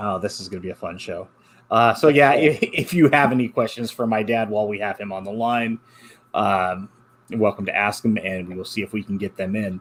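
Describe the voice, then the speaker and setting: Fairly low-pitched male voice, an unremarkable speaking voice, fairly quick, with ordinary pitch variation and big swings in loudness. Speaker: podcast host. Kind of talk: casual chat.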